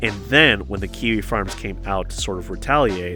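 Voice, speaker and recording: A man talks at a moderate pace, his pitch swinging very widely. Music is playing in the background. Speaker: online drama commentator. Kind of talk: casual commentary video. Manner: casual, conversational.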